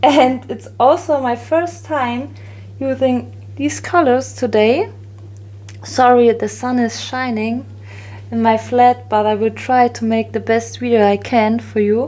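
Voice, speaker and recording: Noticeable background noise runs beneath a woman talking at a fairly slow pace. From Germany, Bavaria. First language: German. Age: 30s. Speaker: resin art crafter. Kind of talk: tutorial. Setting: home, sunny flat. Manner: halting, many fillers.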